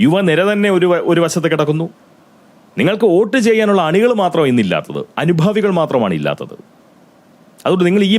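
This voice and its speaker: A man speaks at a high pitch with ordinary pitch variation. His loudness stays very even. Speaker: political commentator. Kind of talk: political commentary monologue.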